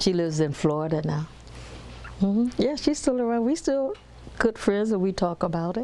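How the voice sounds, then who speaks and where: With an American accent, a woman talks at a medium pitch and a moderate pace, her pitch swinging very widely. Long, frequent pauses break up her speech, and there is noticeable background noise. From US South and Cleveland, Ohio. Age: 80s+. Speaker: interviewee, retired telephone operator. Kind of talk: personal testimony interview.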